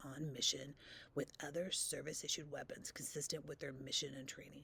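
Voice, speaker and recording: A woman with a very deep, low pitch speaks with vocal fry and lively intonation. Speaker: political reaction commentator. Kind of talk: reading a news article aloud.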